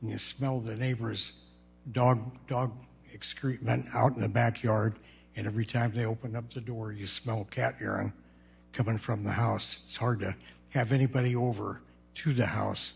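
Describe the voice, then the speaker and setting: A man's medium-pitched voice with vocal fry, moderate pace, long, frequent pauses and monotone, flat intonation, on a very clean recording with a silent background. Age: 70s. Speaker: resident speaking at public comment. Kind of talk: public comment at council meeting. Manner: halting.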